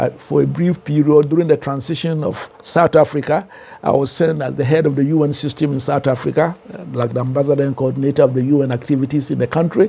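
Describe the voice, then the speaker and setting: The speaker has a Ghanaian accent. Pitch variation is ordinary. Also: man. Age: 70s. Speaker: professor and author. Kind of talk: interview. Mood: relaxed, animated storytelling. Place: studio. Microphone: lapel.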